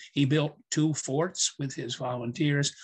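A somewhat breathy male voice against a quiet background. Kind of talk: lecture. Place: office. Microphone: video call.

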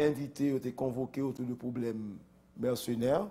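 A man's voice is heard. The tone comes across dark and mellow. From Haiti. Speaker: politician. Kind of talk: interview. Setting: studio. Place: studio. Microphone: lapel.

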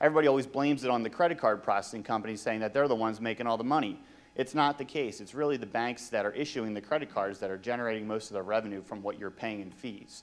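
Talking at a very fast clip, a man uses ordinary pitch variation. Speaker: presenter. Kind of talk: conference presentation. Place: hall. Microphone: handheld.

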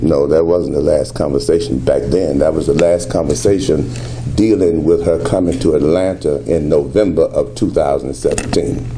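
With an American accent, the speaker uses lively intonation and very even loudness at a moderate pace, over light background noise. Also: man, very deep, low pitch for a man. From Southern US. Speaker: pastor. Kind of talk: press conference answers. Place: hall. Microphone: podium.

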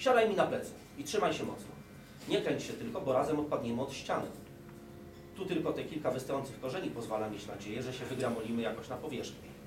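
A man rattles off words at a very fast pace while noticeable background noise carries on. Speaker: reader at a talk. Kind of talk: reading a story aloud. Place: hall. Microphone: podium.

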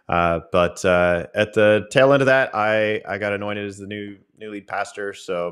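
The speech comes at a fairly slow pace with fairly even intonation against a quiet background. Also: man, fairly low pitch for a man. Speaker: pastor. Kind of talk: casual theological discussion. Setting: video call. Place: home room. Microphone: studio mic.

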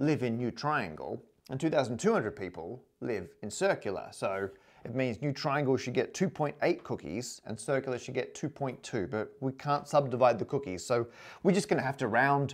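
A man speaks at a moderate pace with lively intonation and vocal fry. The background is quiet. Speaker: presenter. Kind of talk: lecture. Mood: playful explanatory. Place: home room. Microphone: lapel.

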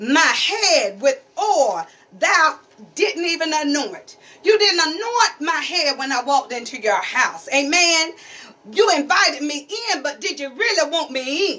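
Her raised, projected voice sits at an extremely high pitch for a woman. She moves slowly, at a fairly slow pace, with very wide pitch swings. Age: 50s. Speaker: pastor's wife and preacher. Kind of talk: sermon. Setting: church. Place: home room. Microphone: phone near.

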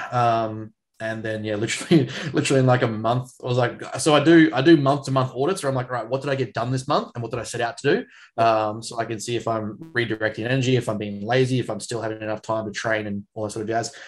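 A man with an Australian accent, very fast pace and fairly even intonation. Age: 20s. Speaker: strength coach and podcast co-host; strength coach, podcast co-host. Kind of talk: casual chat. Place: home room. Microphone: video call.

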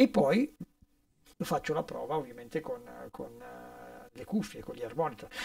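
Over a quiet background, a man talks at a moderate pace with big swings in loudness and long, frequent pauses. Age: 60s. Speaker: session guitarist; guest. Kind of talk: casual interview. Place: studio. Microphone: studio mic.

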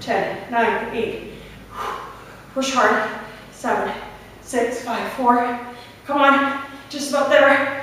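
A woman with a high-pitched voice and ordinary pitch variation speaks very slowly, with long, frequent pauses, strong room echo and light background noise. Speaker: fitness instructor. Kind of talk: live guided workout, barking interval cues and countdowns. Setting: home or gym exercise video, demonstrating while talking. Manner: slightly breathless, with fillers and self-corrections mid-exercise. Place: gym. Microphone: camera far.

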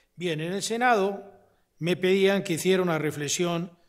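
Here a man speaks at a fairly slow pace. His intonation stays fairly even. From Spain. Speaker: constitutional law professor; invited lecturer, constitutional law professor. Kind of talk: lecture. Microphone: podium.

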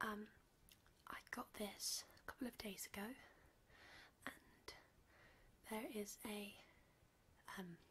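Whispering in a relaxed tone, a woman speaks with long, frequent pauses. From UK. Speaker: ASMR content creator. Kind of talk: casual talk to camera, candy haul review. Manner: soft-spoken, relaxed. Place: home room. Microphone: studio mic.

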